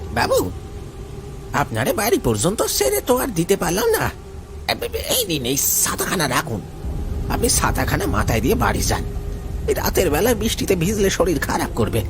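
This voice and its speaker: A man in a cartoonish character voice at a moderate pace with loud background noise. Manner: humble rustic speech, turning menacing.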